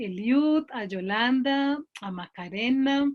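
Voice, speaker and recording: Lively intonation marks this woman's high-pitched voice. The background is quiet. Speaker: logotherapist, psychologist. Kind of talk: online talk. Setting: video call. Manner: deliberately slow.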